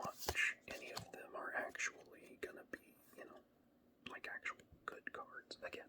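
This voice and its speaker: With an American accent, someone whispers in a relaxed tone at a very slow pace. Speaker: ASMR creator. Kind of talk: ASMR casual rambling while showing cards. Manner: soft-spoken, relaxed; hesitant with fillers.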